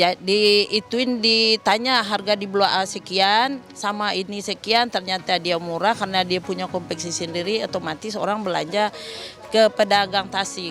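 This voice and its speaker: A woman with a Minang accent talks at a moderate pace in a medium pitch with fairly even intonation, over noticeable background noise. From West Sumatra (Minangkabau). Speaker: market trader. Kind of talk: street interview.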